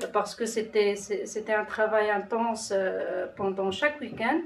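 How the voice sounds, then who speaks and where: With a non-native accent, the speaker talks over audible room echo. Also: woman. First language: not French (speaking French). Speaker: citizen panel participant. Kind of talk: testimony. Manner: halting.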